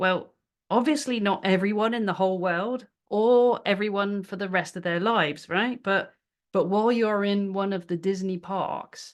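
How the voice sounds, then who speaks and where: Against a quiet background, a woman with a British accent speaks at a moderate pace, her medium pitch held in fairly even intonation. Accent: British accent, noticeable. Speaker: business workshop presenter. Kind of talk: webinar presentation. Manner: casual, with many fillers and repetitions.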